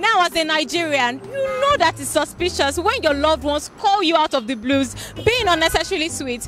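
A high-pitched woman with lively intonation, dry sound with no echo and light background noise. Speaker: street show host. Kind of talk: presenter intro. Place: street. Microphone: handheld.

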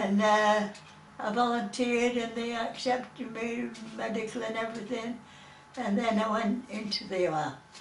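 A woman speaks at a moderate pace in a fairly high pitch with fairly even intonation, over light background noise and audible room echo. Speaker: war veteran. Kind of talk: oral history interview answer. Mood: fond, cheerful memories. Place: home room. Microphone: camera far.

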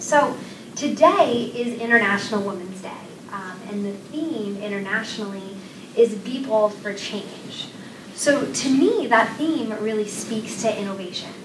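A woman speaks at a fairly high pitch and fairly slow pace with ordinary pitch variation. Her loudness swings widely amid noticeable background noise. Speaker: nonprofit executive; presenter. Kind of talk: presentation. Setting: stage with audience. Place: classroom. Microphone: camera far.

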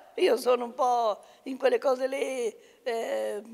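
This is a woman speaking. Her voice sits at a high pitch. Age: 90s. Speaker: retired local politician and community organizer; retired local politician. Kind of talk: interview. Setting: rehabilitation institute. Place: home room. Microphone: handheld.

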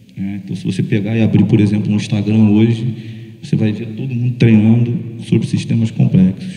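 A man talks at a fairly quick pace. The background is quiet, with audible room echo. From Brazil. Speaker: strength and conditioning coach; conditioning coach. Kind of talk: panel discussion. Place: stage. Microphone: handheld.

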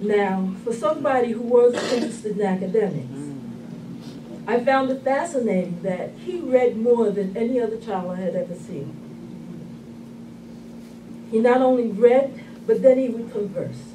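There is noticeable background noise as a woman talks at a moderate pace, leaving long, frequent pauses. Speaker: speaker. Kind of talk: eulogy. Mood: warm, reflective remembrance. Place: hall. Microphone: camera far.

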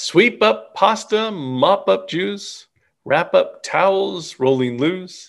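A man talks slowly with a high pitch, lively intonation, a fairly bright tone and some vocal fry.

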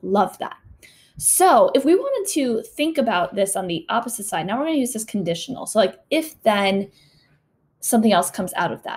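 Her pitch swings very widely as a woman speaks at a fairly quick pace. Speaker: teacher. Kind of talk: online class teaching. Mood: warm, encouraging. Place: home room.

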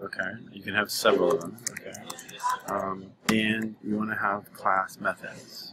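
A soft-spoken man with a fairly low pitch and monotone, flat intonation, at a moderate pace over noticeable background noise. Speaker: programming teacher. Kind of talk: tutorial. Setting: coffee shop.

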